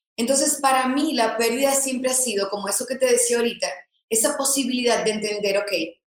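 Audible room echo surrounds this woman's voice. She speaks at a fairly high pitch. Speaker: influencer and content creator. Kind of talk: interview.

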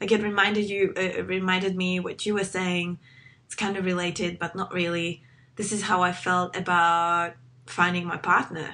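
Speaking at a moderate pace with a Czech accent, a woman has a medium pitch, a bright, sharp tone and monotone, flat intonation. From Czech Republic. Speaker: podcast host. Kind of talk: casual chat. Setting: video call.

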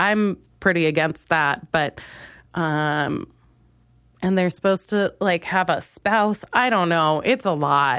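A woman with an American accent speaks at a fairly slow pace with ordinary pitch variation in a plain, everyday voice, on a very clean recording with a silent background. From Minnesota. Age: 20s. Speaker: comedian. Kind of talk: solo comedic monologue.

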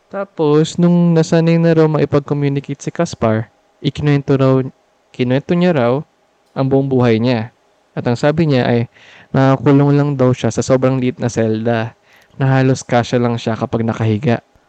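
A man talks at a medium pitch and moderate pace with ordinary pitch variation. His tone is dark and mellow, the sound dry and close with no echo. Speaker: podcast co-host; marine biologist. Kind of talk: casual storytelling chat.

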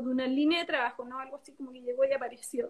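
Here is a woman speaking. Her voice is high-pitched. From southern Chile (Biobío, Temuco). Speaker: winemaker. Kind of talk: casual interview. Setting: video call.

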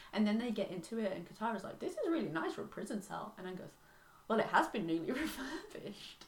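This woman talks at a very fast pace with a fairly high pitch and very wide pitch swings. Noticeable background noise sits behind her. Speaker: podcast host. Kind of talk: casual chat.

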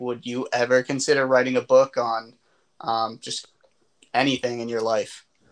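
A man with a plain, everyday voice delivers his words at a medium pitch and moderate pace. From Boston area, US. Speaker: podcast co-host. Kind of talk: casual interview chat.

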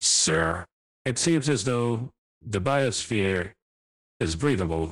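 In a very clean recording with a silent background, a man uses a put-on character voice at a very slow pace. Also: fairly low pitch for a man. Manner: polite, formal.

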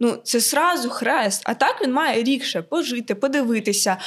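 Very wide pitch swings mark this voice, with noticeable background noise behind it. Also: woman. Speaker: university student and florist. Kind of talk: casual chat.

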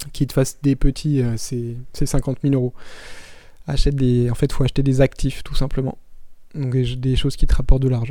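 A man's medium-pitched voice, dark and mellow in tone, monotone and flat, at a moderate pace with long, frequent pauses. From France, Paris region countryside. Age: 30s. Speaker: podcast host, digital nomad entrepreneur. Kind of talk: casual Q&A monologue. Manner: hesitant, many fillers.

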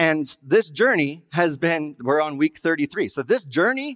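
A man talks with a Western US accent. The recording is very clean with a silent background, dry and close with no echo. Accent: Western American. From Wyoming. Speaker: guest pastor. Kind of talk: sermon.

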